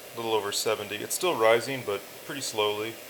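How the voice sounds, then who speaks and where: A man with a fairly low voice talks at a fairly quick clip as noticeable background noise runs behind him. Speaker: electronics hobbyist. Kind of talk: casual talk to camera. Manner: hesitant, many fillers.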